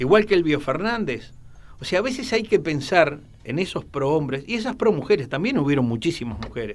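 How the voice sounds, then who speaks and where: Swinging very widely in pitch, a man speaks fairly quickly in a fairly high voice. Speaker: radio host. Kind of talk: casual chat.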